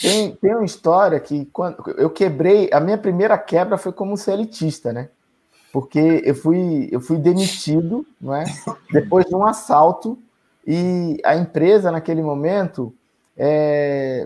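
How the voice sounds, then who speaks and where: Speaking at a fairly slow pace, a man uses a high pitch, a dark, mellow tone and lively intonation. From Brazilian Northeast, Bahia (Feira de Santana). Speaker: sales consultant and entrepreneur. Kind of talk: interview.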